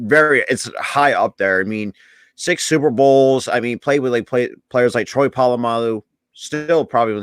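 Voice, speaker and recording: A man speaks in an unremarkable speaking voice at a medium pitch and moderate pace, with ordinary pitch variation. The recording is very clean and dry, close with no echo and a silent background. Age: 20s. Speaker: sports podcast co-host. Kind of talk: casual chat.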